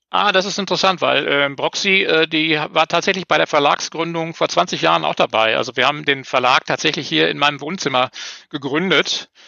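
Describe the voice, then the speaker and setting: Speaking at a fairly quick pace, a man has a fairly high voice with vocal fry. His pitch varies in an ordinary way. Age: 50s. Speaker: newspaper editor and small publisher. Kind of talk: casual interview chat. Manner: hesitant, many fillers and repetitions.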